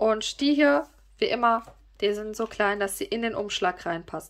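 At a fairly slow pace with long, frequent pauses, a woman's lively intonation stands out against a quiet background. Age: 30s. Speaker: YouTuber and online shop owner; YouTuber. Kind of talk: casual product presentation to viewers. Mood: cheerful, gushing.

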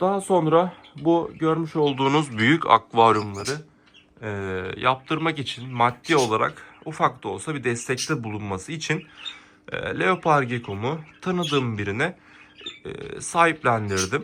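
A man's fairly high voice with a bright, sharp tone, lively intonation and a fairly slow pace, against a quiet background. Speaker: aquarium hobby YouTuber. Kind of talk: video tutorial vlog. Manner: hesitant, many filler sounds.

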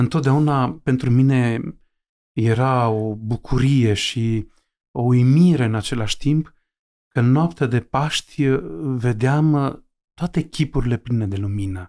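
On a very clean recording with a silent background, a man with a dark, mellow tone and medium pitch talks at a very slow pace with ordinary pitch variation. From Romanian mountain village. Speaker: Orthodox bishop. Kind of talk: interview. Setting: home library. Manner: halting, many fillers.

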